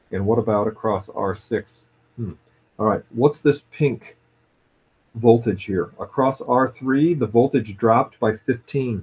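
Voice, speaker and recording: Somewhat breathy male speech, medium in pitch with ordinary pitch variation, at a fairly slow pace. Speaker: physics teacher. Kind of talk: tutorial.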